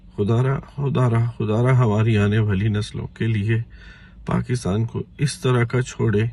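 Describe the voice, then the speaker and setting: A man speaks in a fairly low, somewhat breathy voice with a dark, mellow tone. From Pakistan. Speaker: caller. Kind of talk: emotional appeal.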